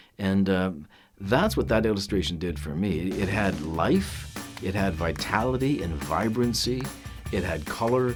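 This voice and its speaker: Music plays in the background. A man with a very deep, low pitch talks at a fairly slow pace. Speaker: voice actor. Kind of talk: casual talk to camera.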